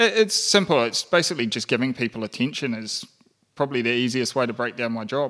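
Speaking with a New Zealand accent, a man talks at a very fast pace in a bright, sharp tone. His pitch is medium, with ordinary variation. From rural New Zealand. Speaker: podcast guest, entrepreneur. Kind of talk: casual chat.

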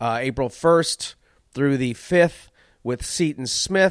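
In a very clean recording with a silent background, a man speaks at a fairly slow pace with ordinary pitch variation and a dry, close sound with no echo. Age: 40s. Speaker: comedian. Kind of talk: casual monologue. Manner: animated.

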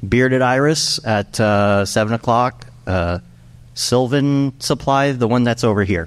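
A man speaks with a medium pitch, ordinary pitch variation and an unremarkable speaking voice. His pace is fairly slow. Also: very even loudness. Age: 40s. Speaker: podcast host and panel moderator. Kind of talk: live panel discussion. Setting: stage with audience.

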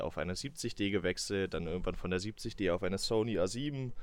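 A man talks at a moderate pace. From northern Saxony-Anhalt, Salzwedel. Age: 20s. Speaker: podcast co-host, marketing employee. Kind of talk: casual chat. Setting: remote recording from home.

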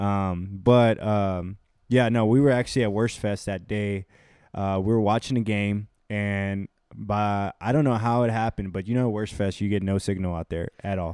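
On a very clean recording with a silent background, a man with an American accent uses a plain, everyday voice, fairly low in pitch, with fairly even intonation at a moderate pace. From Houston, Texas. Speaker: recent graduate, data analyst. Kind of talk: casual chat. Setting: apartment.

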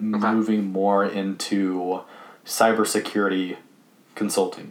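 Over noticeable background noise, a man speaks with a fairly low pitch for a man. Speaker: guest, college student and developer. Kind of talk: casual conversation.

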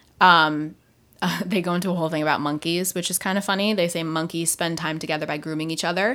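On a very clean recording with a silent background, a woman talks in an ordinary speaking voice. Her pitch is fairly low, with ordinary variation. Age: 20s. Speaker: podcast host and radio presenter. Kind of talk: casual chat, banter with partner. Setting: home, recording with a microphone.

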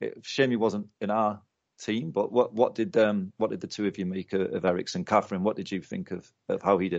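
A plain, everyday voice at a fairly quick pace, with ordinary pitch variation. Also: man, fairly low pitch for a man. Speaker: podcast host. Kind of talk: casual chat.

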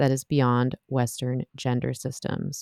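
The delivery comes at a fairly slow pace in a dark, mellow tone. The sound is dry and close, with no echo. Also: woman. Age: 30s. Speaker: podcast host and sex educator. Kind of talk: interview podcast; read-out ad.

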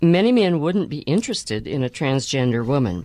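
Against a quiet background, a woman speaks at a fairly quick pace. Her very deep, low voice makes very wide pitch swings. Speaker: radio co-host interviewer. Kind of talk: radio interview. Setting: in studio.

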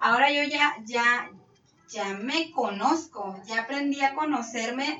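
Noticeable background noise is audible throughout. Over it, a woman talks with ordinary pitch variation. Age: 30s. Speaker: bariatric surgery patient. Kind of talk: testimony.

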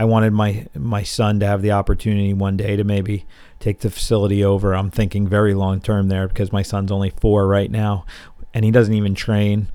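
Over a silent background in a very clean recording, a man with a fairly low pitch talks at a fairly quick pace in a monotone, flat intonation. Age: 40s. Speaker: martial arts coach and gym owner. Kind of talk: solo monologue podcast.

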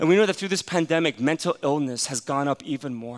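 The man sounds animated, his intonation lively. He speaks at a fairly quick pace. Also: dry, close sound with no echo. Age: 40s. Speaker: pastor. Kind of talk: sermon. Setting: church.

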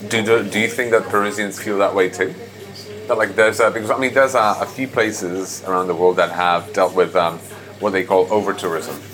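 A man at a fairly quick pace with fairly even intonation over noticeable background noise. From Prague, Czech Republic. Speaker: podcast host and food tour guide. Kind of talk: casual interview conversation.

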